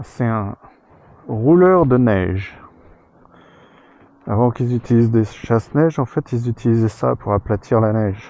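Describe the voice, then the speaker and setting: A man speaks fairly slowly in a medium-pitched, dark, mellow voice with ordinary pitch variation and long, frequent pauses. The sound is dry and close, with no echo. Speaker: motorcycle travel vlogger. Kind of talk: travel vlog. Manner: casual.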